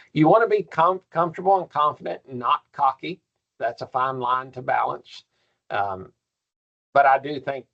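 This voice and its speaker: He speaks with a Kentucky accent and lively intonation. The sound is dry and close, with no echo. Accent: persistent Kentucky. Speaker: professor. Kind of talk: workshop lecture.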